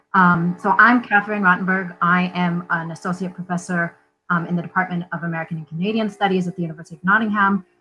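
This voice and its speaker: A woman's fairly low voice, monotone and flat, at a fairly quick pace over faint background music. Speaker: panelist. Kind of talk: panel talk introduction. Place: home room.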